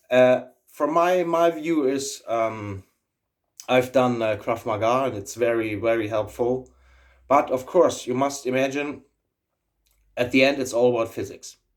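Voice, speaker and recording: A man with a German accent speaks at a medium pitch and a fairly slow pace, with ordinary pitch variation. He leaves long, frequent pauses in a very clean recording with a silent background. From Germany. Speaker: YouTuber, aviator. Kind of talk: casual vlog monologue. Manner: halting, many fillers and repetitions.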